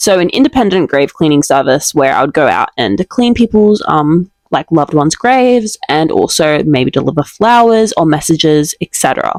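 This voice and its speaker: A woman with an Australian accent speaks at a fairly quick pace, her fairly low voice carrying lively intonation. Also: dry, close sound with no echo. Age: 20s. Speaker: vlogger and small business owner. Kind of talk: casual vlog talk to camera.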